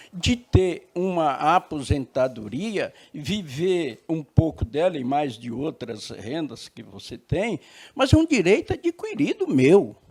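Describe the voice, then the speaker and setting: A man talks at a very slow pace with hardly any pauses. His pitch swings very widely and his loudness rises and falls sharply. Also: fairly high pitch for a man. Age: 70s. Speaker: retired talk show debater. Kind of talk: talk show debate.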